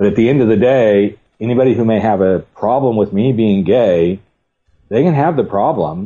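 At a moderate pace, a man talks in a plain, everyday voice with a fairly low pitch. His pitch variation is ordinary and his loudness very even. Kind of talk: casual panel discussion.

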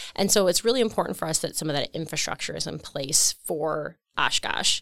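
Lively in intonation and fairly quick in pace, a woman speaks in an Upper Midwest accent, recorded dry and close with no echo. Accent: Upper Midwest American. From rural Wisconsin, US Midwest. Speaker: economic development executive. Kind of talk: interview.

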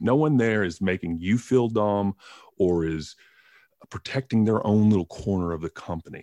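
Recorded dry and close with no echo over a quiet background, a man speaks at a moderate pace in a fairly low pitch with a dark, mellow tone and ordinary pitch variation. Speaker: podcast co-host. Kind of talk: casual chat. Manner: halting.

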